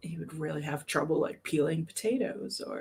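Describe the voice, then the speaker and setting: A woman speaks at a moderate pace with a very deep, low pitch. Her voice is somewhat breathy. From US, New York City. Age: 40s. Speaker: crochet content creator. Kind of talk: casual chat.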